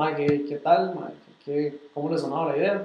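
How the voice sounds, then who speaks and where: A man with a Costa Rican accent talks with fairly even intonation over noticeable background noise. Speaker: car club founder and podcast co-host. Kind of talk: casual chat. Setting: livestream.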